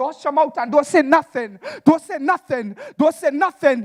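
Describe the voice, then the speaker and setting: The sound is dry and close with no echo, the pace is moderate, and background noise is noticeable. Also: man. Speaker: slam poet. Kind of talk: spoken word performance. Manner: rhythmic.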